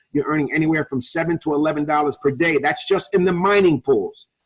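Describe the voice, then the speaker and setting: A man talks very fast at a fairly high pitch. The sound is dry and close with no echo. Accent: New York. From New York. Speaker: network marketing presenter. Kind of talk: webinar sales presentation. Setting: online webinar call.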